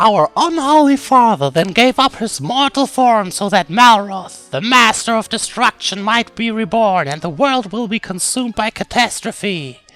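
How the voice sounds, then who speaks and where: A man's high, put-on character voice with lively intonation, dry and close with no echo. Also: moderate pace. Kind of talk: reading game dialogue aloud in character.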